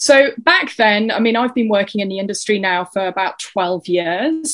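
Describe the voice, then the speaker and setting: A woman with an English accent talks at a moderate pace and a medium pitch. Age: 40s. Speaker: fitness and wellness coach. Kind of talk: interview, casual chat.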